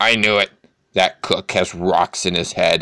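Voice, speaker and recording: A man growls in a put-on character voice at a fairly low pitch, with a dry, close sound with no echo and very even loudness. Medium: read story. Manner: gruff, blunt.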